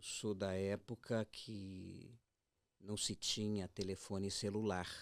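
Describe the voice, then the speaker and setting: The speaker is a man. His pace is very slow. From Brazil, Rio de Janeiro. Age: 60s. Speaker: immigrant father. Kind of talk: radio interview. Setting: radio studio.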